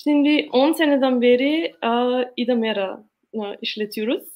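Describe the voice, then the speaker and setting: A woman speaks fairly slowly with an Austrian accent. Her pitch is fairly high, with ordinary variation. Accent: Austrian German accent in Turkish. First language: German (speaking Turkish). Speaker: organic farmer. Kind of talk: presentation. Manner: halting.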